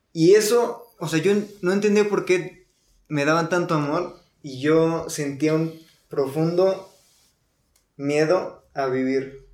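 A man's fairly high voice in a Mexican accent, very slow with long, frequent pauses, ordinary pitch variation and audible room echo. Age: 20s. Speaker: guest in recovery. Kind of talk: personal testimony. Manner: quiet, not talkative.

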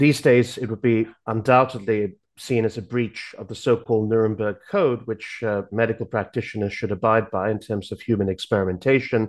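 With hardly any pauses and a fairly quick pace, a man talks in a normal speaking voice at medium pitch, his intonation fairly even against a quiet background. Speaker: university lecturer. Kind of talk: political commentary.

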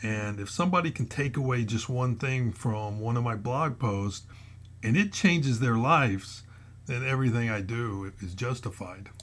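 A man talks in a medium pitch at a moderate pace. His voice is somewhat breathy, with ordinary pitch variation. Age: 60s. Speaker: retired federal agent turned motivational blogger. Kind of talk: motivational podcast monologue. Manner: hesitant with frequent fillers.

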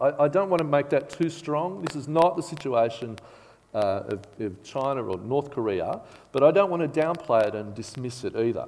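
With noticeable background noise behind him, a man at a fairly high pitch talks at a moderate pace with very wide pitch swings. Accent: Australian. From Australia (Bathurst, New South Wales). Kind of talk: sermon. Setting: church service with congregation.

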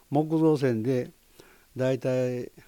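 A man speaks at medium pitch with a Kansai accent. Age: 80s+. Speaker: roof tile company president. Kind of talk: interview.

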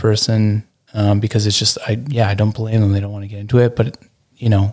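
Mumbling at a moderate pace, the speaker keeps a monotone, flat intonation. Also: man. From Burlington, Ontario, Canada. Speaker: entrepreneur and designer. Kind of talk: casual interview chat. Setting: speakeasy room attached to an Airbnb.

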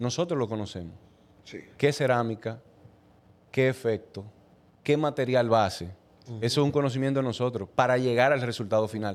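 Speaking in a Dominican Cibao accent, a man of medium pitch goes at a fairly quick pace with ordinary pitch variation and long, frequent pauses. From Dominican Republic, Moca. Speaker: dental technician. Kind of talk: casual chat.

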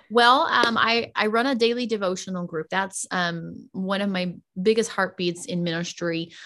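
A woman with an American accent and an unremarkable speaking voice talks at a medium pitch with fairly even intonation, in a very clean recording with a silent background. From US South. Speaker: pastor. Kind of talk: podcast interview testimony.

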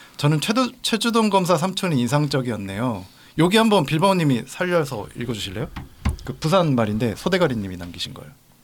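Pitching fairly high with very wide pitch swings, a man talks at a fairly quick pace. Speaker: podcast co-host. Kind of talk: casual chat.

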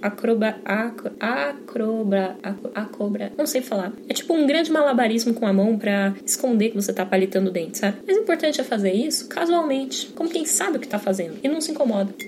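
A woman with a fairly high pitch races along at a fairly quick pace, hardly pausing. Her pitch swings very widely, and noticeable background noise sits behind her. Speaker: podcast host on drinks. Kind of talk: casual monologue. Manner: animated.

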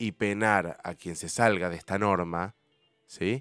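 A man speaks at a very slow pace with a very deep, low pitch and ordinary pitch variation. The recording is very clean with a silent background, and the sound is dry and close with no echo. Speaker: radio host. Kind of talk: casual chat.

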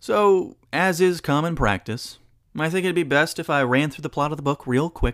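On a very clean recording with a silent background, a man with an unremarkable speaking voice talks at a fairly high pitch, a moderate pace and with lively intonation. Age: 20s. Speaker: podcast host. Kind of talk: solo podcast monologue.

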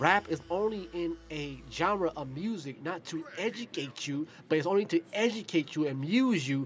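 A man is speaking. His intonation is lively. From Ohio, US. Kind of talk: casual monologue. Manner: rambling, repetitive.

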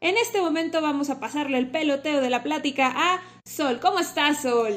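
A woman at a high pitch and moderate pace, with lively intonation, in a very clean recording with a silent background. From Mexico. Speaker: podcast host, graphologist. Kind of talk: casual chat.

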